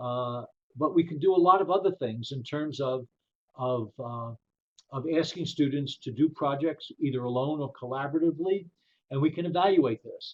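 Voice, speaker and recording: A man with an American accent talks at a moderate pace in a fairly high pitch. He has an ordinary speaking voice with ordinary pitch variation. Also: big swings in loudness. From New York, the Bronx. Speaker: professor. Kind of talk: webinar presentation. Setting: webinar.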